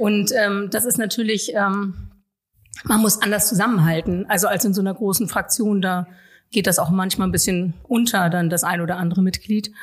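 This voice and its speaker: A somewhat breathy woman at a moderate pace, with very even loudness. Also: medium pitch for a woman, fairly even intonation. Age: 40s. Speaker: local politician. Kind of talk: interview conversation.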